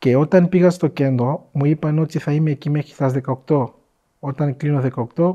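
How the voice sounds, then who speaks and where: A man with a somewhat breathy, fairly high voice talks at a moderate pace with fairly even intonation. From DR Congo. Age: 20s. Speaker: entrepreneur, former refugee. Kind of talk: interview, personal life story.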